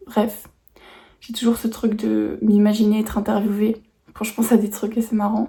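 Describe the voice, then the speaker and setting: A woman speaks in a flat monotone at a fairly high pitch and moderate pace. Long, frequent pauses break up her speech. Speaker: vlogger. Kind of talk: vlog monologue. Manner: hesitant, many fillers.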